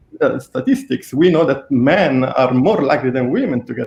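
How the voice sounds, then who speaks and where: A man with an Italian accent speaks at a moderate pace. His medium-pitched voice is somewhat breathy. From Italy. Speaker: researcher. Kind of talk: interview.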